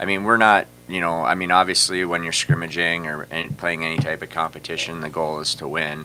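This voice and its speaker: A man talks at a fairly quick pace with hardly any pauses, his very deep, low voice keeping a fairly even intonation. Noticeable background noise runs underneath. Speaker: high school hockey coach. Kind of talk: interview. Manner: loud.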